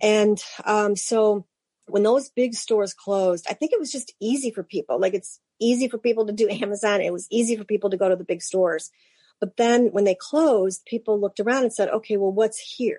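A woman with an American accent talks fairly quickly in a dark, mellow tone, her fairly high pitch moving with ordinary variation, the sound dry and close with no echo. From Cleveland, Ohio. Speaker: bookstore owner. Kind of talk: interview.

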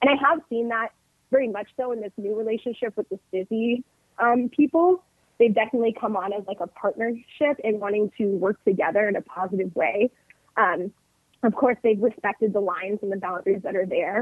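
Speaking with a Californian accent, a woman keeps a fairly quick pace. Her pitch is fairly high and varies in an ordinary way. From US West Coast, northern California (707 area). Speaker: union representative. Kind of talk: casual chat.

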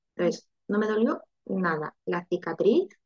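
A woman's medium-pitched voice at a very slow pace, dry and close with no echo. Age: 30s. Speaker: IVF patient sharing her story. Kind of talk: interview testimony.

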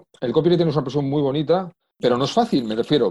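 A man talks very fast in an Asturian accent. His voice sits fairly high. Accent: Asturian Spanish, picked up. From Spain, Madrid. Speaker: copywriter. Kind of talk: interview conversation.

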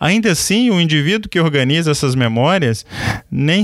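Very clean with a silent background and a dry, close sound with no echo, the recording carries a man's unremarkable speaking voice with lively intonation at a moderate pace. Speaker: podcast host. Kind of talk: interview.

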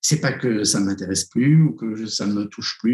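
Medium-pitched male voice with a dark, mellow tone, lively intonation and a fairly slow pace. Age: 60s. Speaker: psychotherapist and author. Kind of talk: interview. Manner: halting.

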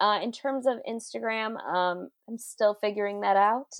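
A woman's normal speaking voice at medium pitch with an American accent. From Queens, New York City. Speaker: comedian and writer. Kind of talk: casual interview chat. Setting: remote call.

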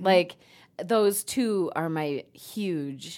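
A woman's fairly low voice with ordinary pitch variation, in a very clean recording against a silent background. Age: middle-aged. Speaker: podcast co-host. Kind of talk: casual chat.

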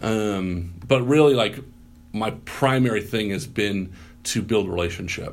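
A man speaks with a General American accent in a plain, everyday voice. His pitch is fairly low with ordinary variation, and his pace is fairly slow. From US Midwest. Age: 30s. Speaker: pastor. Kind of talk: casual interview chat. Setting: podcast interview.

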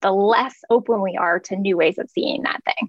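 A woman is speaking at a medium pitch. Her pitch variation is ordinary. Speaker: clairvoyant healer and meditation teacher. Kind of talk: interview conversation. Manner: calm.

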